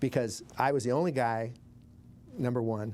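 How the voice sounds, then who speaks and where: A man with a Montana accent speaks in a medium-pitched, dark, mellow voice with ordinary pitch variation. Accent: Northern US (Montana). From Billings, Montana. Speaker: war veteran, former army medic. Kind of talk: interview answer.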